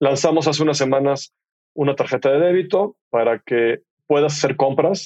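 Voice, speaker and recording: The man has an ordinary speaking voice, fairly high in pitch, recorded dry and close with no echo. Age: 50s. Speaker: entrepreneur, fintech CEO. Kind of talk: casual interview conversation. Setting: studio.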